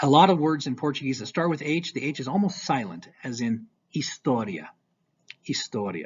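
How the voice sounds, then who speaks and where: This man speaks at a moderate pace with an American accent and a fairly high pitch for a man. His intonation is lively, and vocal fry shows up in his voice. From United States. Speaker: high school Portuguese teacher. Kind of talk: language tutorial.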